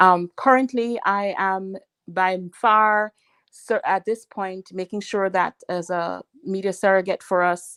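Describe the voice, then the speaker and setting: A woman with a Jamaican accent speaks at a very slow pace with fairly even intonation. The recording is very clean, with a silent background. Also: medium pitch for a woman. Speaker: political advisor. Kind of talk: radio interview. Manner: halting, many fillers.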